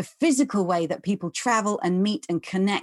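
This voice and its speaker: Against a quiet background, a woman with a southern English accent speaks at a medium pitch with ordinary variation, the sound dry and close with no echo. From London, England. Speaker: economist and author. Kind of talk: interview.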